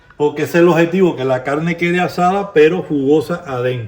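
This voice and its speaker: A man's high voice with a Cuban accent, ordinary pitch variation, and noticeable background noise. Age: old. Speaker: home cook. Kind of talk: casual cooking talk to camera.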